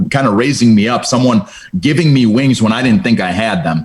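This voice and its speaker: An unremarkable speaking voice from a man, medium in pitch, fairly quick, with lively intonation. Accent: American. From Cleveland, Ohio. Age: 30s. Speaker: insurance business owner. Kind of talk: casual interview.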